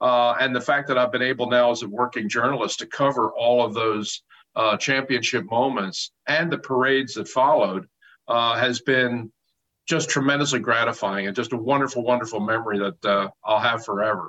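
A man speaks at medium pitch in an American accent, with a bright, sharp tone. His pace is moderate and his intonation fairly even. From Philadelphia. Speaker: sports journalist. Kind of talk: interview.

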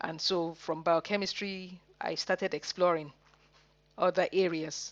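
Speaking at a moderate pace, a woman keeps a medium pitch with monotone, flat intonation. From Nigeria. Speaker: university lecturer, environmental scientist. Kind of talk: interview.

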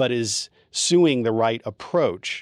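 Dry and close with no echo, the sound carries a man with a normal speaking voice. His pitch is medium, and the recording is very clean with a silent background. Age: 50s. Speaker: divorce attorney. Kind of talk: podcast interview.

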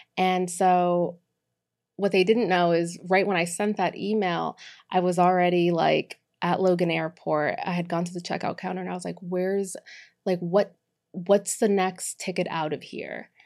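A woman speaks in an American accent at a moderate pace. Her intonation is monotone and flat. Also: fairly low pitch for a woman, very clean recording, silent background. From Boston, Massachusetts. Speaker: co-working business manager. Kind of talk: casual interview. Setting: in person studio.

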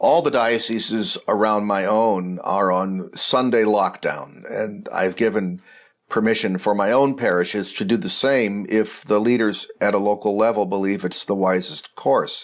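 Fairly slow and fairly low in pitch, a man speaks in a plain, everyday voice with ordinary pitch variation and very even loudness. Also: hardly any pauses, quiet background. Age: 60s. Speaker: Episcopal bishop. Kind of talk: reflective talk or homily.

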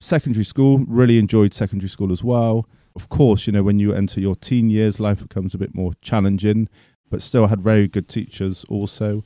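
A man with a Bristol accent, fairly low in pitch with a dark, mellow tone, fairly even intonation and a moderate pace, in a dry, close sound with no echo. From Bristol, England. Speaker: forest school teacher. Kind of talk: interview.

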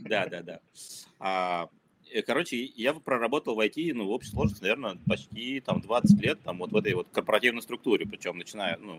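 Dry and close with no echo, a man's fairly low voice moves at a moderate pace with lively intonation. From former Soviet Union (Ukraine, Kazakhstan, Moscow). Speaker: marketer and startup founder. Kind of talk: casual interview chat.

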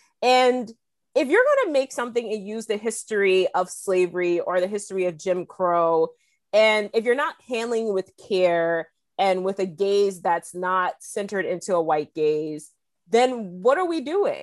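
Over a quiet background, a woman talks at a fairly slow pace with lively intonation. It is an ordinary speaking voice at medium pitch. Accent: American. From US South, South Carolina. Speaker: history professor. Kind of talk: panel discussion.

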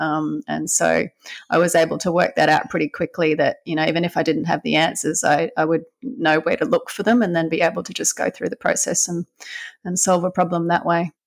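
A woman's fairly quick speech with an Australian accent and ordinary pitch variation, dry and close with no echo, on a very clean recording with a silent background. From Brisbane, Australia. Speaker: veterinarian. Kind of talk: interview.

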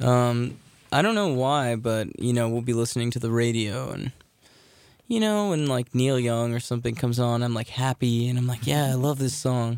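At a moderate pace, a man with a normal speaking voice talks at medium pitch with ordinary pitch variation. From Tacoma, Washington, US Pacific Northwest. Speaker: rock singer. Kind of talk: casual interview. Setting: radio studio.

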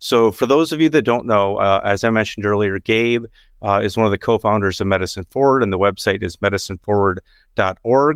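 The speaker has a plain, everyday voice, talking at a fairly quick pace with ordinary pitch variation. The sound is dry and close with no echo, a very clean recording with a silent background. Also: man, fairly low pitch for a man. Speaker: physician podcast host. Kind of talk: podcast interview.

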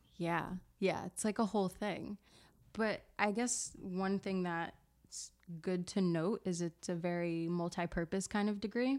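A woman with an American accent speaks at medium pitch and a fairly slow pace, with fairly even intonation, on a very clean recording with a silent background. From South Jersey, Camden, New Jersey. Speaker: yoga studio front desk worker. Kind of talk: casual chat.

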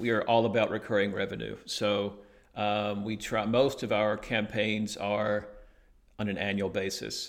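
With an Alabama accent, a man speaks at a moderate pace with vocal fry. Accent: Southern US Alabama. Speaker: digital marketing agency owner. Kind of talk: interview. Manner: hesitant, many fillers.

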